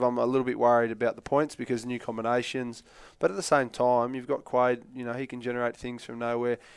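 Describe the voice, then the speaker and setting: A man talks very fast at a medium pitch with an Australian accent. The background is quiet. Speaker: former rugby player, pundit. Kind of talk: casual chat.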